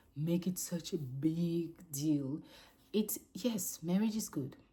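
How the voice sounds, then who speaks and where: This woman's voice is somewhat breathy, with ordinary pitch variation. The recording is very clean, with a silent background. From Cameroon and Gabon. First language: French. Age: 30s. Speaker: vlogger. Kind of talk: casual unscripted monologue. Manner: halting, self-correcting.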